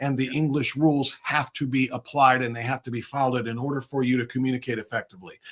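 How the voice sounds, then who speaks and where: Speaking at a very fast pace with hardly any pauses, a man with an Ohio accent holds a medium pitch and a monotone, flat intonation. Noticeable background noise runs underneath. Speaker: conservative livestream host. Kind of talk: political commentary talk.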